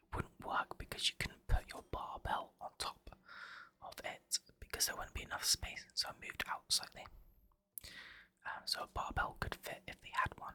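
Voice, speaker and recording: Whispering at a moderate pace, broken by long, frequent pauses. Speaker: ASMR content creator. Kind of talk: whispered gameplay commentary, casual talk to camera. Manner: whispered, soft.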